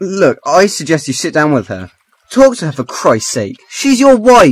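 A man's put-on character voice, fairly high and slightly husky, with very wide pitch swings at a fairly slow pace

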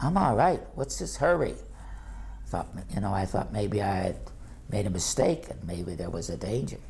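Lively intonation from a man with a fairly low pitch and vocal fry, at a moderate pace.

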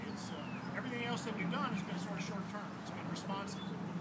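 This is a man speaking. Loud background noise fills the recording. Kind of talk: public briefing talk. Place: waterside. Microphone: camera far.

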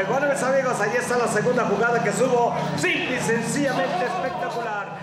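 A man at a fairly quick pace, amid loud background noise and audible room echo. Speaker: rodeo announcer. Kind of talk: live rodeo announcing. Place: stadium. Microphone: headset.

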